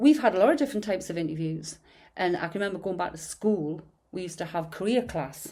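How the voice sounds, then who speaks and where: In a Geordie accent, a woman talks at a very fast pace, her fairly low voice dark and mellow in tone with lively intonation. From northern England, Newcastle/Gateshead. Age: 60s. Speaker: podcast host. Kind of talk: casual chat.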